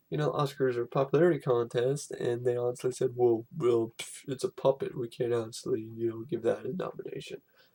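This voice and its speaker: A man's somewhat breathy, dark, mellow voice at a medium pitch, fairly quick in pace, with fairly even intonation. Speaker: film reviewer. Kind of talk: casual vlog review. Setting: at home. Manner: halting, many fillers; whispering, quiet.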